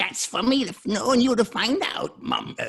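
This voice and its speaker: An extremely high-pitched, put-on character voice from a man. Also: moderate pace. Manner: playful, cartoonish.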